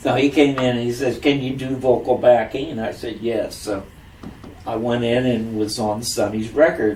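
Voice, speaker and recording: A man with an American accent, medium pitch and fairly even intonation at a moderate pace, with noticeable background noise and audible room echo. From US Midwest, Springfield, Ohio. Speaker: singer, Navy veteran. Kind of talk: oral history interview. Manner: halting, many fillers.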